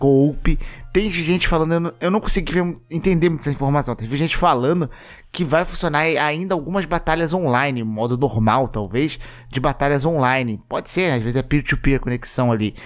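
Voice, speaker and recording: A man with a Brazilian accent speaks at a fairly quick pace in an animated tone, his pitch fairly high with ordinary variation. The recording is very clean, with a silent background. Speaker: gaming youtuber. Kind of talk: casual commentary.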